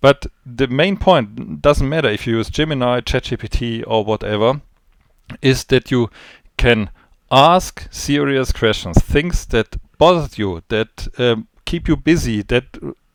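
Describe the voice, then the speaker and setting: A man with a non-native accent, lively intonation and a fairly slow pace, on a very clean, dry, close recording with no echo and a silent background. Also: medium pitch for a man. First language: not English. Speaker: trading educator. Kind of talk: spontaneous video briefing. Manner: halting, searching for words.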